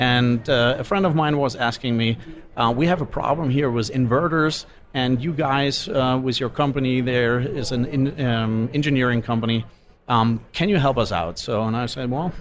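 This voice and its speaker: A man with a strong German accent and ordinary pitch variation. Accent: pronounced German. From Germany. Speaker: solar company executive. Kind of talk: interview. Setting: live event podcast lounge. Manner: hesitant, many fillers.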